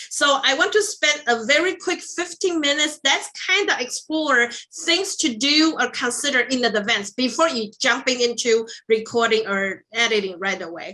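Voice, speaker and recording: A woman uses a raised, projected voice at a high pitch. Her pitch swings very widely while she keeps a moderate pace. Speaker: instructional design workshop facilitator. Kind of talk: online workshop presentation. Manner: many fillers (um, uh).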